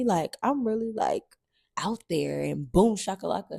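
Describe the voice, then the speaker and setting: Recorded dry and close with no echo, a woman speaks at a fairly slow pace. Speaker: hair tutorial creator. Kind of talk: casual voiceover over hair tutorial. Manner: casual, chatty, upbeat.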